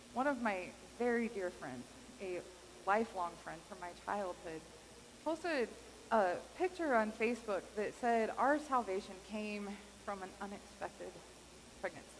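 Speaking in an American accent, a woman uses a fairly high pitch and lively intonation at a moderate pace. Long, frequent pauses break up her speech, over light background noise. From Kansas. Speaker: pastor. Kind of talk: sermon. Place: church.

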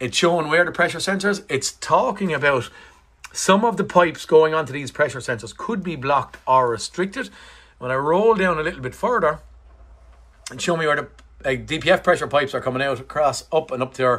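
A man's bright, sharp tone at a fairly quick pace. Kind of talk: tutorial. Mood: enthusiastic. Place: workshop. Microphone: phone near.

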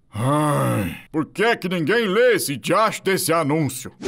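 In a cartoonish character voice, the speaker goes at a fairly slow pace with very wide pitch swings and very even loudness. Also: man, fairly high pitch for a man. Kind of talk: cartoon fandub dialogue.

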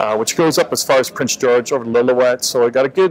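There is faint background noise as a man speaks at a medium pitch.

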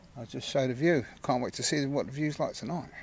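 A man at a medium pitch and a fairly quick pace, with ordinary pitch variation and vocal fry.

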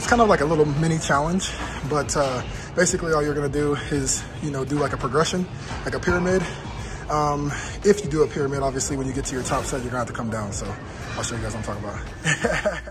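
A man talks at a very fast pace with ordinary pitch variation against noticeable background noise. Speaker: fitness vlogger. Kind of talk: casual vlog chat. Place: gym. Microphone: phone near.

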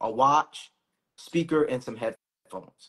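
With an American accent, a man speaks at a moderate pace with ordinary pitch variation against a quiet background. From Boston. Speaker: finance professional; co-host of finance brand. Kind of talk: casual chat. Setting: Instagram live stream. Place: home room.

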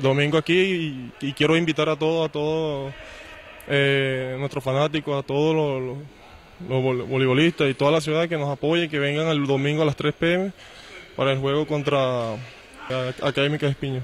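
A man speaks at a moderate pace with a fairly high pitch and a monotone, flat intonation, in a dry sound with no echo and light background noise. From Venezuela. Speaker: volleyball player; volleyball coach. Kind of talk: pre-match interview. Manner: halting, many repetitions and fillers. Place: hall. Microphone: handheld.

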